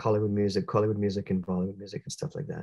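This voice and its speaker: Over a quiet background, a man with a Canadian accent talks in a somewhat breathy voice at a fairly low pitch. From Canada (Sudbury, Ontario). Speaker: jazz musician. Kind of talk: interview.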